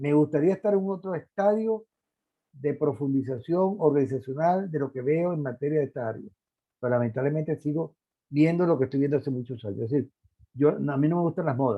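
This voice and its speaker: Long, frequent pauses break up a man's fairly quick pace. His voice is fairly high, with ordinary pitch variation. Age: 60s. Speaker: lecturer. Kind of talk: lecture. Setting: online conference.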